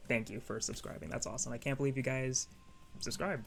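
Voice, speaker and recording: Someone soft-spoken talks over music in the background. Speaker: anime YouTuber. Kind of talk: casual vlog commentary. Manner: hesitant, filler words.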